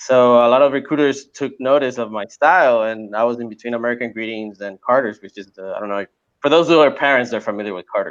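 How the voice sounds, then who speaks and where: Over a quiet background, a man with a Spanish accent talks very fast at medium pitch, with ordinary pitch variation and big swings in loudness. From Puerto Rico. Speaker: apparel illustrator and course creator. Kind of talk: podcast interview. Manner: casual, repetitive with fillers.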